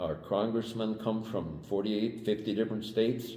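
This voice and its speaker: With an American accent and a dark, mellow tone, a man speaks amid audible room echo. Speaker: Vietnam-era military veteran. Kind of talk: interview. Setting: on camera interview. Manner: halting, with many fillers.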